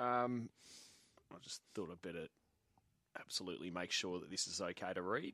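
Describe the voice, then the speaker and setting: In an Australian accent, a man with a very deep, low pitch and a bright, sharp tone talks at a moderate pace with ordinary pitch variation, long and frequent pauses, and a dry, close sound with no echo. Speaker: radio sports host. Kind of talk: live radio sports chat.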